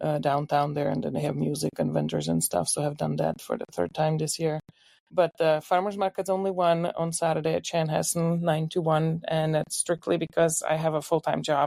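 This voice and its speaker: In a Czech accent, a woman talks at a moderate pace with hardly any pauses. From Czech Republic, Ostrava. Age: 50s. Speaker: home baker. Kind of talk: casual interview.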